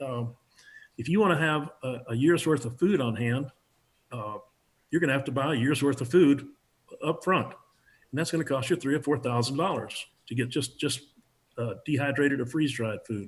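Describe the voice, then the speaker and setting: A man speaks at a moderate pace with a fairly high pitch and ordinary pitch variation. His voice is somewhat breathy, with long, frequent pauses. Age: 70s. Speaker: preparedness instructor. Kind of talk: interview.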